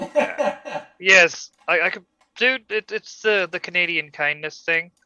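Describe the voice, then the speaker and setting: A man with an American accent speaks in a raised, projected voice at a high pitch, his tone bright and sharp, with very wide pitch swings. He talks at a very slow pace, and the sound is dry and close with no echo. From Germany, later US South. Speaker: animator. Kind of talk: casual chat. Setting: live stream.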